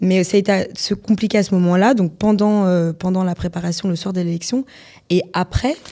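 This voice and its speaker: A dark, mellow tone at a fairly quick pace, fairly even intonation, and a very clean recording with a silent background. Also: woman, medium pitch for a woman. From France, Nancy (Lorraine). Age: 20s. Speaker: model and former beauty queen. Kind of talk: interview.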